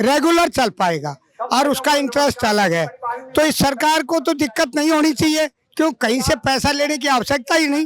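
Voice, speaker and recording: Extremely high in pitch, this man's voice shows ordinary pitch variation. The sound is dry and close with no echo. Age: 70s. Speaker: retired transport worker, protester. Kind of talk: street interview at protest.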